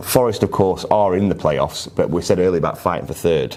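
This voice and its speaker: A man with a Yorkshire accent and a very deep, low pitch, amid noticeable background noise. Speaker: football podcast host. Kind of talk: casual chat.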